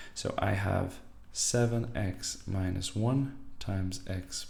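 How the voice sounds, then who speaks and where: Against audible room echo, a man speaks very slowly in a fairly low, somewhat breathy voice with a dark, mellow tone and lively intonation. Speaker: maths teacher. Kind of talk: tutorial.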